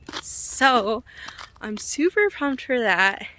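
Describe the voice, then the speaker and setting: Lively intonation from a woman, with noticeable noise in the background. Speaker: fitness coach and bodybuilder. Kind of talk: casual vlog. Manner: casual, filler-heavy.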